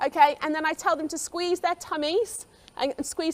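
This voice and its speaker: A woman speaks at a high pitch with ordinary pitch variation. The sound is dry and close, with no echo. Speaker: gymnastics coach. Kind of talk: conference workshop. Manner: fast.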